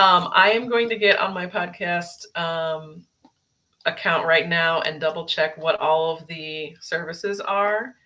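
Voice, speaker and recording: Her bright, sharp tone and fairly low pitch carry this woman's fairly slow speech, which has ordinary pitch variation and big swings in loudness. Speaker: author and podcaster. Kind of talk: casual chat. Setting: live stream video call.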